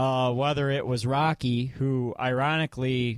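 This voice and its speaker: On a very clean recording with a silent background, a man with a Michigan accent talks fairly slowly at medium pitch with fairly even intonation. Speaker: podcast host. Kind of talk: casual chat. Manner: halting, many fillers.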